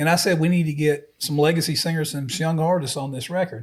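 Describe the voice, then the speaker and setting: Words come at a very fast pace in a somewhat breathy voice with ordinary pitch variation. The recording is very clean, with a silent background. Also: man. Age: old. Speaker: podcast co-host, music industry producer. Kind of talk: casual chat.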